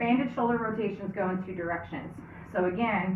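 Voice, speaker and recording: Amid noticeable background noise and audible room echo, a woman talks at a moderate pace with ordinary pitch variation. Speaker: fitness instructor. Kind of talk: tutorial. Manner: casual, conversational.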